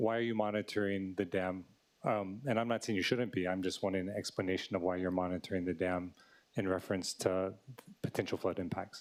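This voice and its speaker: Soft-spoken and very deep in pitch, a man talks at a fairly quick pace with very even loudness and a fairly even intonation. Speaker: city council member. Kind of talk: committee questioning. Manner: soft-spoken, low.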